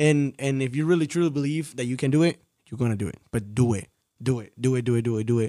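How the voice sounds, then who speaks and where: Talking at a very fast pace, the man has a medium pitch and ordinary pitch variation. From Mexico, Tampico. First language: Spanish. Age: 20s. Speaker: film director. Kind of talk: casual interview.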